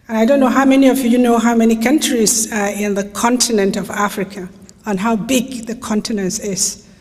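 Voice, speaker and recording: A woman speaks at a fairly quick pace and a fairly high pitch, her intonation fairly even. There is audible room echo and noticeable background noise. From Nigeria. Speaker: human rights lawyer. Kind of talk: lecture.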